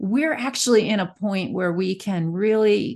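A woman with an ordinary speaking voice talks at a fairly slow pace in a medium pitch, with ordinary pitch variation. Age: 40s. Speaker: magazine publisher and editor. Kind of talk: casual interview chat.

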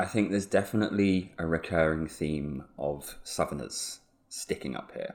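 This man has a southern English accent. He speaks at a fairly slow pace. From southeast England (Hertfordshire). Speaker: photographer and local historian. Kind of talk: interview conversation.

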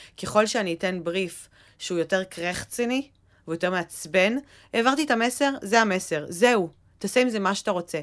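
A woman's medium-pitched, plain, everyday voice with lively intonation at a moderate pace, on a very clean recording with a silent background. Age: 30s. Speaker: podcast co-host, content manager. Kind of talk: casual chat.

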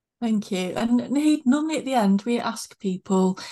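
A woman talks at a moderate pace. Her tone is dark and mellow, somewhat breathy. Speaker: podcast host. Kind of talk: interview conversation.

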